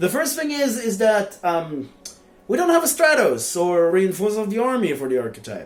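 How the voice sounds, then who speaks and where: A man talks with a non-native accent at a moderate pace. His pitch swings very widely. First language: not English. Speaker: card game YouTuber. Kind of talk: game card review. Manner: hesitant, many fillers.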